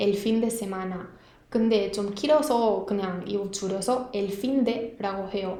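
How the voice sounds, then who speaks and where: A woman at a very slow pace with fairly even intonation over noticeable background noise. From northern Spain. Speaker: Spanish language teacher. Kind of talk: language lesson talk to camera.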